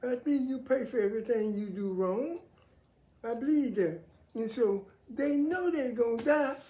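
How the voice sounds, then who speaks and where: Speaking at a moderate pace, a woman has a high pitch and a dark, mellow tone. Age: 70s. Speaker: military veteran sharing faith views. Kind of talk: casual monologue on faith and politics.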